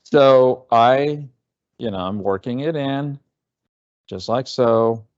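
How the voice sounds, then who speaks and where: Speaking at a very slow pace with long, frequent pauses, this voice carries an American accent and ordinary pitch variation. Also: man, medium pitch for a man. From Texas. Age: 60s. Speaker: home baker and cooking instructor. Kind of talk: cooking demonstration. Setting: livestream cooking class. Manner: halting, with frequent fillers.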